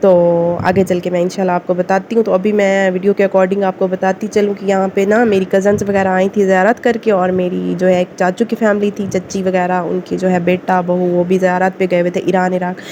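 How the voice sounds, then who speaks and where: Hardly pausing at all, a woman speaks at medium pitch with monotone, flat intonation. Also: moderate pace. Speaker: village family vlogger. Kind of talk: casual vlog talk. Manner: rambling, many fillers.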